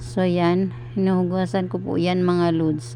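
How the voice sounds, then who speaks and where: A woman's fairly low voice unfolds very slowly. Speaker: cooking vlogger. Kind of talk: voiceover narration of cooking video. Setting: recorded at night when household asleep. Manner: halting, stuttering delivery; many filler sounds.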